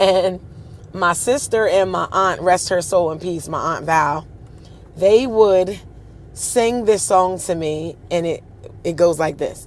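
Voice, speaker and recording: A woman with an American accent speaks at a very slow pace, with ordinary pitch variation and long, frequent pauses. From Pennsylvania (Harrisburg). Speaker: show host and singer. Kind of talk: personal storytelling. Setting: livestream.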